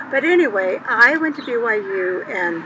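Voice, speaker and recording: Very wide pitch swings run through speech set against noticeable background noise. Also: woman. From Montana, US. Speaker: elderly woman telling life story. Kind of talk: personal life story talk. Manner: halting, with fillers.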